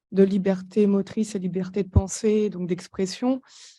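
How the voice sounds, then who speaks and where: A woman's somewhat breathy voice carries a dark, mellow tone and monotone, flat intonation. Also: quiet background. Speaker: audience member. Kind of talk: audience question. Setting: conference room with audience. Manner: halting.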